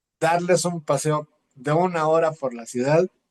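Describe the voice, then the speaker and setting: Speaking at a fairly slow pace, this man has a high pitch and fairly even intonation. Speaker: poet. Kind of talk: interview conversation. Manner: halting.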